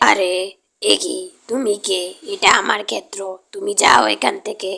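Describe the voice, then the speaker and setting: A raspy, cartoonish character voice delivers its lines in a menacing tone at a fairly slow pace. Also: female-sounding voice, medium pitch for a woman. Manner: muttering, greedy, menacing.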